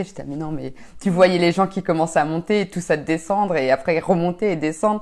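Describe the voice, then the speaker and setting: With ordinary pitch variation, a normal speaking voice goes along at a fairly quick pace. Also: woman. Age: 20s. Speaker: amateur athlete. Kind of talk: casual chat. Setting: home.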